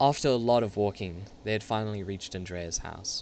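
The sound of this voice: A man speaks with vocal fry. His pitch is fairly low and his pace moderate.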